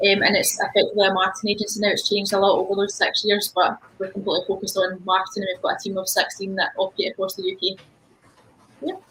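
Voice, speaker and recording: A woman talks at a very fast pace. She has a Scottish accent. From Scotland, Ayrshire. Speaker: marketing agency owner. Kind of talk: panel introduction.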